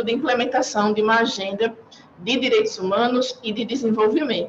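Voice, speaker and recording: A woman with a Northeastern Brazilian accent speaks at a fairly high pitch. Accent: Northeastern Brazilian (Alagoas). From Brazil, Maceió (Alagoas, Northeast). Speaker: UN agency urban development officer. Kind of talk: panel presentation. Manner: formal.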